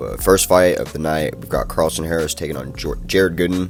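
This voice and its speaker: Over music in the background, a man with a very deep, low voice talks at a fairly quick pace. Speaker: MMA fight predictions YouTuber. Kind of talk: casual commentary monologue. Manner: casual, slangy.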